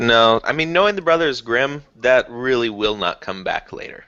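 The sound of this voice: Reading is done in an unforced reading voice.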